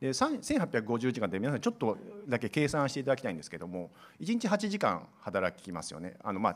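A man with very wide pitch swings. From Gifu, Japan. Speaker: airline business process staff, non-engineer; presenter. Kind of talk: conference seminar presentation. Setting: seminar hall with audience at an expo. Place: hall. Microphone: podium.

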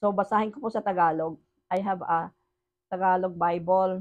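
Fairly even intonation against a quiet background. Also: woman. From Philippines. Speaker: online preacher. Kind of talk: sermon. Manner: switches between Tagalog and English. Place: home room. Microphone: phone near.

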